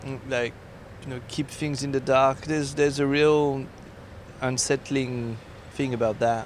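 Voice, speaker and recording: A man with a French accent and a medium pitch, at a fairly slow pace with monotone, flat intonation and long, frequent pauses. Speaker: podcast co-host. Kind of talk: casual chat. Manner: halting.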